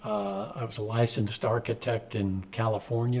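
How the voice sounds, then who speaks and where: A man's somewhat breathy voice at medium pitch, with fairly even intonation and a fairly slow pace. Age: 70s. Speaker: community organization president, retired executive. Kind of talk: interview answers. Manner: halting, many fillers.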